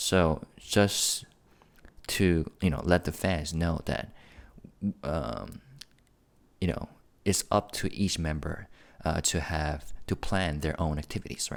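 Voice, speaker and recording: On a very clean recording with a silent background, a man speaks quietly at a very slow pace with a very deep, low pitch, ordinary pitch variation and long, frequent pauses. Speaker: K-pop news youtuber. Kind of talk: casual commentary. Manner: quiet and low; halting, many fillers.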